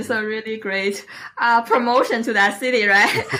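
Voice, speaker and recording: A woman with a Chinese accent talks at a fairly high pitch. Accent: Mandarin Chinese. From northeast China, Liaoning province. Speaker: Toastmasters club president, marketing analyst. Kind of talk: interview podcast. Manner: hesitant, many fillers; lively.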